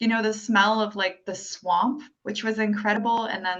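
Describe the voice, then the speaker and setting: At a moderate pace, a woman speaks in a fairly high pitch with an unremarkable speaking voice. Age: 30s. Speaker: independent musician. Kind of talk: casual interview chat.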